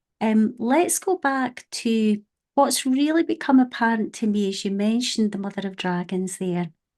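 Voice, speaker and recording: Against a quiet background, a woman speaks with a strong Scottish accent at a fairly high pitch. Her intonation is lively and her pace moderate. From Scotland. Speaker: podcast host. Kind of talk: casual chat.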